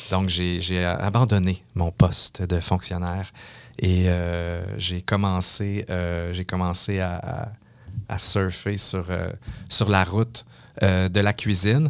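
In a Quebec accent, a man speaks at a very slow pace with a very deep, low pitch and fairly even intonation. The recording is very clean, with a silent background. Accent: Québécois French. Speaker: mixologist and entrepreneur. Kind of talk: interview. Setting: studio.

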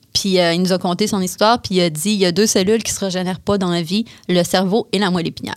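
At a very fast pace, a woman speaks at medium pitch with fairly even intonation. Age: 30s. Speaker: woman with paraplegia. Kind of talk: interview. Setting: studio.

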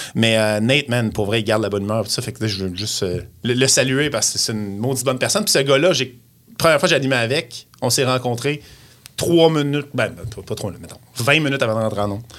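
A man rattles off his words at a very fast pace while music plays behind him. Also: medium pitch for a man, ordinary pitch variation. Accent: Quebec. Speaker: radio host. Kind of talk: casual chat.

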